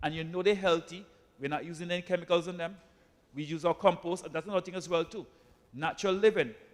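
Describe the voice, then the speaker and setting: With big swings in loudness, a man talks at a very fast pace in an animated, high-pitched voice. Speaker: doctor. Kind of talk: health talk to church audience.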